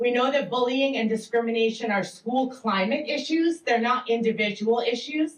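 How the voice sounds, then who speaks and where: A woman with a high pitch speaks at a moderate pace, with hardly any pauses, very even loudness and ordinary pitch variation. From Massachusetts. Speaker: educator and education researcher. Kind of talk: panel presentation. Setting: public library event with audience.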